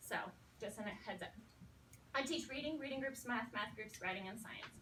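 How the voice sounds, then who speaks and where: Audible room echo surrounds a woman whose fairly high, bright, sharp voice moves with ordinary pitch variation. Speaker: elementary school teacher. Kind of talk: talk to student teachers. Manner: fast.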